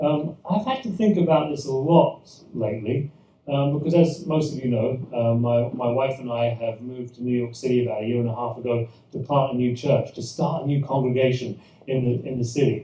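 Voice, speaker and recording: There is noticeable background noise behind this man. He speaks in a medium pitch with a British accent. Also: ordinary pitch variation, fairly quick pace. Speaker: pastor. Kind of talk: church presentation talk. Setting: event with live audience. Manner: hesitant, many fillers and repetitions.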